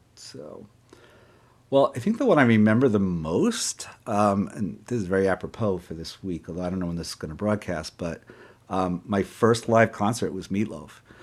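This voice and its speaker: On a very clean recording with a silent background, a man with a fairly low voice speaks at a moderate pace, with ordinary pitch variation and big swings in loudness. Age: 60s. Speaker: author and clinical psychologist. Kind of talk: casual interview. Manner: halting, many fillers.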